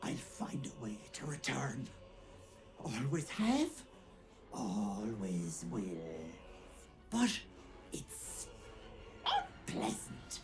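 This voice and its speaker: Against clear background noise, someone uses a put-on character voice at a very slow pace. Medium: video game. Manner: sly, mocking, falsely sweet.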